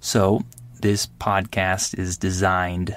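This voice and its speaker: A man speaks at a very slow pace in a fairly low pitch. The recording is very clean, with a silent background. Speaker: podcast host. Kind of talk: unscripted monologue for English learners. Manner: clear.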